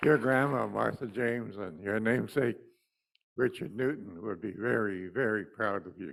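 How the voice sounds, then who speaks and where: A man's fairly low voice with vocal fry and big swings in loudness, on a very clean recording with a silent background. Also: ordinary pitch variation, moderate pace. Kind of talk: remarks at assembly meeting.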